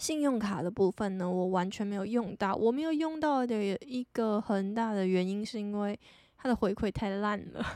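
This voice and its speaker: A soft-spoken woman with a Taiwanese accent, a dark, mellow tone, medium pitch, ordinary pitch variation and a moderate pace. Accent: Taiwanese Mandarin. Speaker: podcast host. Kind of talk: casual solo talk. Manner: low-energy.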